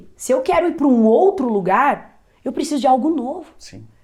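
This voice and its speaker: With very wide pitch swings, a woman speaks at a high pitch and a moderate pace. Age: 30s. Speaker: entrepreneur. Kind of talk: interview.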